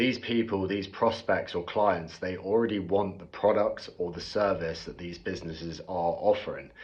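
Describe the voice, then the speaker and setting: A man with a British accent talks at a moderate pace with hardly any pauses, his fairly low voice keeping fairly even intonation. Big swings in loudness stand out, and audible room echo surrounds him. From UK. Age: 20s. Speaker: bricklayer explaining online sales. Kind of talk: explainer monologue to camera.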